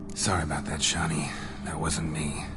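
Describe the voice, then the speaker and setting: A put-on character voice from a man, very deep and low in pitch, at a moderate pace over loud background noise. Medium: machinima. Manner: terse, deadpan.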